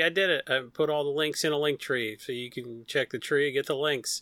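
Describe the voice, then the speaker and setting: A man's fairly high voice with a Rust Belt accent, bright and sharp in tone, fairly quick, with ordinary pitch variation, on a very clean recording with a silent background. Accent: Rust Belt Midwestern. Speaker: Magic card game content site lead. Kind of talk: casual chat.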